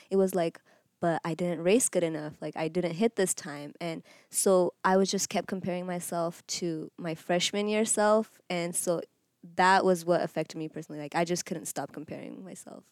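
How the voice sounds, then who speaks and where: A woman with a normal speaking voice talks at a moderate pace and fairly low pitch, her intonation fairly even but her loudness swinging widely, in a very clean recording with a silent background and a dry, close sound with no echo. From Eritrea and Kenya, moved to US at almost 11. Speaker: college cross country runner. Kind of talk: interview testimony.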